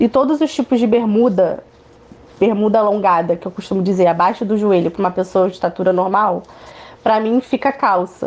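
A woman talks fairly quickly at a medium pitch with ordinary pitch variation. She has a plain, everyday voice. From Niterói, Rio de Janeiro, Brazil. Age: 20s. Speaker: activist and speaker. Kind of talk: interview.

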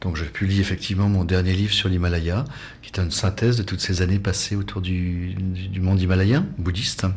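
Somewhat breathy speech with audible room echo. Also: man. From French Alps. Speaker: travel photographer. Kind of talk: interview.

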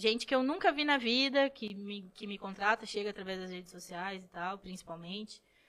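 In an unremarkable speaking voice, a woman talks at a moderate pace in a medium pitch. Her pitch varies in an ordinary way while her loudness swings widely. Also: hardly any pauses. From Rio Grande do Sul, São Borja (western border). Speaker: photographer. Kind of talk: casual chat.

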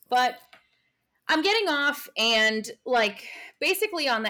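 The tone is bright and sharp, with an American accent and lively intonation. The recording is very clean with a silent background. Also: woman. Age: 20s. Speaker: podcast co-host. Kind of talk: casual chat.

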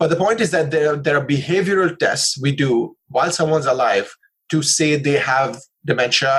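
Plain, everyday voice of a man, fairly high in pitch, with ordinary pitch variation and a fairly quick pace. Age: 30s. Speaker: neuroscientist and biology professor. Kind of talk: lecture; casual chat.

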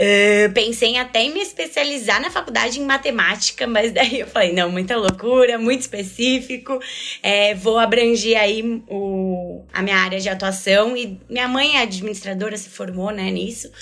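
A woman with an ordinary speaking voice and a fairly high pitch, at a moderate pace with ordinary pitch variation and hardly any pauses. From Brazil, São Paulo city. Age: 20s. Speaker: finance and HR manager. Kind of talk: casual interview.

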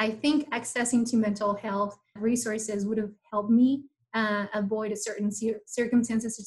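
A woman's fairly high, somewhat breathy voice with a Mexican accent, monotone and flat, at a moderate pace. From Mexico. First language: Spanish. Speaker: program manager at a nonprofit. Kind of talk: interview.

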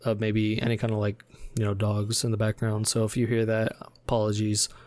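This very clean recording has a silent background. On it, a man speaks at a medium pitch. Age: 20s. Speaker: podcast host, college student. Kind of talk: casual chat.

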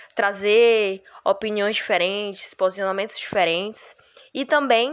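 A woman talks at a fairly slow pace. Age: 20s. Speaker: history student, podcast co-host. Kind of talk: podcast introduction. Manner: casual, hesitant.

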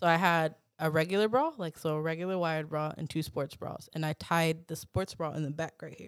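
In a plain, everyday voice, a woman talks at a fairly quick pace with fairly even intonation and a fairly low pitch, on a very clean recording with a silent background. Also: big swings in loudness. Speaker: podcast host. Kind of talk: casual chat.

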